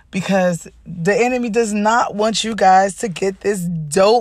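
An animated woman's voice at a medium pitch, fairly slow in pace, with ordinary pitch variation and noticeable background noise. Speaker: podcast host and life coach. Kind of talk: motivational talk.

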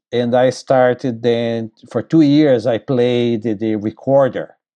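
A man in a Brazilian accent talks with fairly even intonation, the sound dry and close with no echo. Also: quiet background. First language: Portuguese. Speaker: bassoon professor and musician. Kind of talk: casual interview. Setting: video call.

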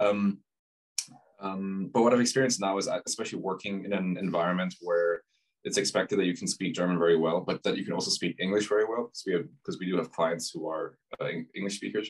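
A man's fairly low voice at a very fast pace with fairly even intonation. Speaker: podcast host. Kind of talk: casual chat.

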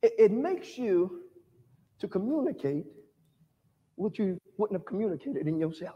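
A man talks in an animated tone at a high pitch, with very wide pitch swings. His pace is moderate, broken by long, frequent pauses. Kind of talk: sermon with call-and-response. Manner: animated, exhortative, rhythmic preaching that urges the crowd to repeat lines; fervent, repetitive, emphatic.

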